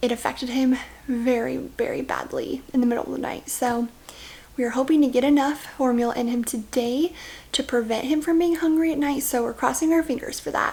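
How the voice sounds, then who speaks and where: Quiet and high-pitched, a woman speaks at a fairly quick pace with fairly even intonation. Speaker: vlogger, stay-at-home mom. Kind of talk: casual vlog talk to camera.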